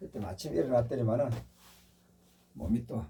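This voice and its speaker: Somewhat breathy, with a dark, mellow tone, a man speaks at a medium pitch. His pace is moderate and his intonation lively. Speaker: meditation/spiritual channel host. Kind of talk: casual monologue. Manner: slightly slurred pronunciation.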